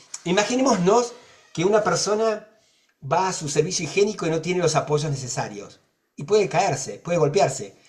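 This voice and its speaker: Talking at a fairly quick pace, a man uses a high voice with lively intonation. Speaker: accessibility advocate. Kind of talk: panel discussion.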